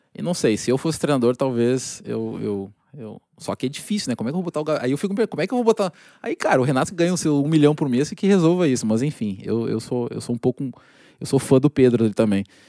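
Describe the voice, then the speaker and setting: A man with a dark, mellow tone and medium pitch speaks at a very fast pace with lively intonation, in a very clean recording with a silent background and a dry, close sound with no echo. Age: 30s. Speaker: football scout and franchise partner. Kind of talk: casual chat. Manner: halting.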